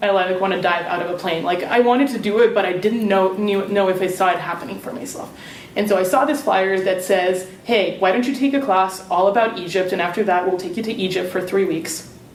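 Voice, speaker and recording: Against noticeable background noise and audible room echo, a woman at medium pitch talks fairly quickly with hardly any pauses and ordinary pitch variation. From Serbia. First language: Serbian. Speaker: alumni panelist. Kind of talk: panel talk.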